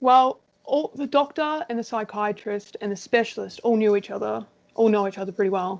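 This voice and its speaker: A woman talks at a fairly quick pace with an Australian accent. Her voice is fairly high, with ordinary pitch variation. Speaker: interviewee with ADHD. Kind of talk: casual interview chat.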